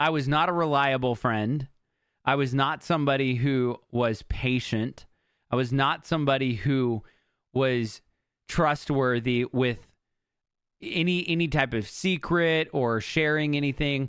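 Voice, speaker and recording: Speaking at a fairly slow pace in an ordinary speaking voice, a man with a fairly high pitch keeps very even loudness and ordinary pitch variation in a very clean recording with a silent background. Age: 30s. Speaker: podcast host. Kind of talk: solo monologue.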